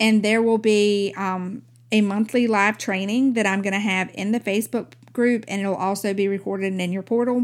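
At a moderate pace, a woman with an unremarkable speaking voice keeps a medium pitch and fairly even intonation. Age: 40s. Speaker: podcast host and mom coach. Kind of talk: casual monologue; sales pitch.

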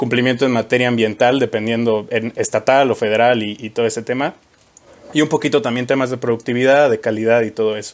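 A man with a central Mexican accent speaks fairly quickly at a medium pitch, his intonation monotone and flat. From Mexico, Querétaro. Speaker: chemical engineer at a safety consulting firm. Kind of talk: casual chat.

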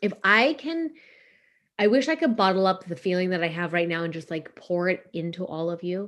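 Over a quiet background, a woman talks fairly quickly in an ordinary speaking voice. Her pitch is medium and her intonation lively. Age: 40s. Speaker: business coach and podcast host. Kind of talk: casual monologue. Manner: conversational with many fillers.

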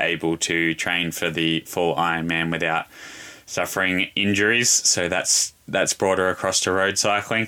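With an Australian accent, a man speaks at a fairly slow pace in a very deep, low pitch and a bright, sharp tone. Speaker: pro cyclist and cycling coach. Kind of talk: casual panel discussion. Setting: live online audio room.

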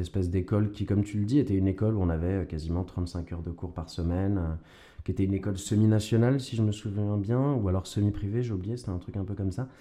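A man talks at a very fast pace with fairly even intonation. His fairly low voice has a dark, mellow tone. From Quebec, Montreal until about 6, then France. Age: young. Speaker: actor and stage director. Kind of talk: interview. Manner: hesitant, repeats words.

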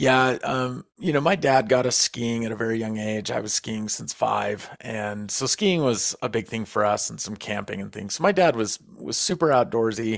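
In an ordinary speaking voice, a man with an American accent talks at medium pitch and a moderate pace, with lively intonation and hardly any pauses. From US Southwest, northern New Mexico. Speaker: bowhunting podcast host. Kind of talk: casual storytelling interview.

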